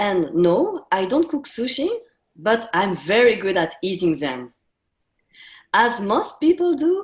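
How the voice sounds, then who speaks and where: Someone with a French accent speaks with very wide pitch swings. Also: woman. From France, half Japanese. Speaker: intercultural coach, panelist. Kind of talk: personal story told on a webinar. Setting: webinar.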